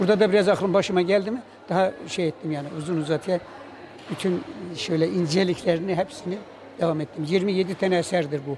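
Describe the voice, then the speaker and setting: Fairly quickly, a man talks at a high pitch with fairly even intonation. There is noticeable background noise. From Kırıkhan, Hatay, Turkey. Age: 70s. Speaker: earthquake survivor, amateur poet. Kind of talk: interview answer. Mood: sorrowful, recounting loss. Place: hall. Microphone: handheld.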